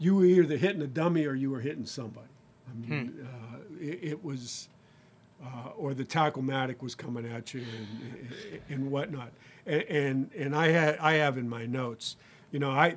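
Loudness swings widely as a man talks at a moderate pace with ordinary pitch variation. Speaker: podcast host. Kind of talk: podcast interview storytelling. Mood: reminiscing, hesitant, with laughs. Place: studio. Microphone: studio mic.

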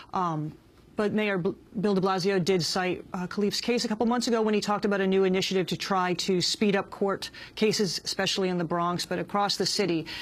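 A woman talks at a fairly quick pace with fairly even intonation. Hers is an unremarkable speaking voice. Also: medium pitch for a woman. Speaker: journalist. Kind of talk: interview.

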